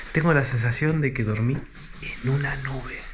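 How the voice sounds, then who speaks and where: A soft-spoken man with a fairly high pitch, talking with fairly even intonation. The room echo is audible and there is noticeable background noise. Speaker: travel vlogger. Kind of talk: travel vlog narration. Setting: hotel room. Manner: quiet, speaking softly.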